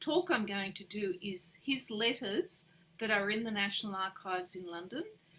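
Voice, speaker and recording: A woman with an Australian accent at a medium pitch. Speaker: genealogist. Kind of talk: interview.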